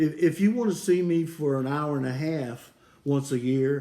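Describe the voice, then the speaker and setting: His tone is dark and mellow, and this man's pitch sits fairly high. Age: 70s. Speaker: military veteran. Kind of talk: phone call with doctor. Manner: halting, repetitive; terse, blunt.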